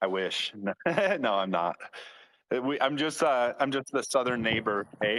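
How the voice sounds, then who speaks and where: A man with an Upper Midwest accent talks at a fairly slow pace, medium in pitch, with lively intonation. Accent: Upper Midwest American. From Michigan. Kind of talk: casual chat.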